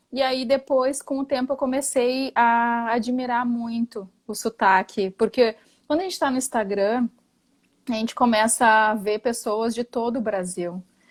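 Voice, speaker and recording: A woman speaks with a strong gaúcho accent, fairly high in pitch and at a fairly slow pace. The recording is very clean, with a silent background and a dry, close sound with no echo. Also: ordinary pitch variation. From Porto Alegre, southern Brazil. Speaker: architect, therapy patient. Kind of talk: casual chat.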